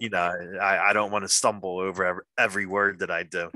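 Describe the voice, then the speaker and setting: Talking at a very fast pace, a man delivers his words in a very deep, low pitch with a bright, sharp tone and a monotone, flat intonation. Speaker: interview host. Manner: stutters, keeps shifting voice to avoid it.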